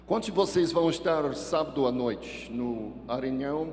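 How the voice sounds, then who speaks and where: With audible room echo and noticeable background noise, a man speaks at a fairly slow pace, his fairly high pitch carrying lively intonation. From Texas. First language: English (speaking Portuguese). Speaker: pastor. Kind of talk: sermon. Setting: church with congregation.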